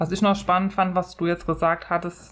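A woman speaks quietly in a calm tone with a fairly low pitch. The recording is very clean, with a silent background. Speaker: podcast co-host with long covid. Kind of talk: casual chat. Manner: calm, quiet.

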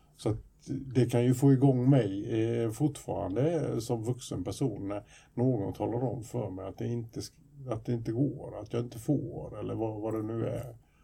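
The voice has a dark, mellow tone with vocal fry, moving at a moderate pace with ordinary pitch variation. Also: man, medium pitch for a man. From Sweden. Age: 50s. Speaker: podcast co-host, youth counsellor. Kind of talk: casual chat.

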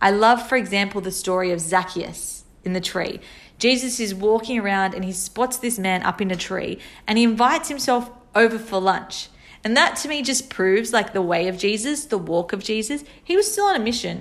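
Here a woman speaks in a plain, everyday voice with a fairly high pitch. She keeps a moderate pace with ordinary pitch variation. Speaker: podcaster. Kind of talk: solo monologue podcast.

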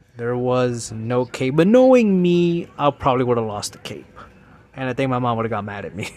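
A man in an American accent talks fairly quickly with lively intonation while noticeable background noise plays underneath. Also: medium pitch for a man. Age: 30s. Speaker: podcast host. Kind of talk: casual solo monologue.

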